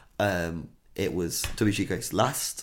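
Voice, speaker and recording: A man with an East Midlands accent speaks with vocal fry. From Nottingham, English Midlands. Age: 30s. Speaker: DJ and artist. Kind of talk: casual chat.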